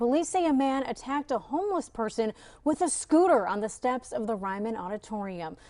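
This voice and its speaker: A woman talks at a fairly quick pace in a high voice with a dark, mellow tone. Her pitch swings very widely. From Midwest United States. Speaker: TV news reporter and anchor. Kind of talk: TV news anchor read.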